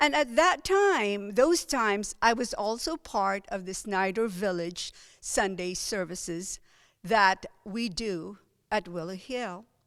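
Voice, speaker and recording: With a Filipino accent, a woman speaks very slowly at a medium pitch, her intonation lively. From Philippines. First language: Filipino language. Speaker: lay preacher. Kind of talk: sermon. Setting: church service, recorded online.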